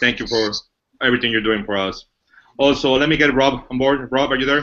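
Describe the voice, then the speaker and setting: In a Mexican accent, a man with a medium-pitched voice and a bright, sharp tone talks at a fairly quick pace with ordinary pitch variation. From Mexico. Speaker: business executive presenting a company. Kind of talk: webinar presentation. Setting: online webinar.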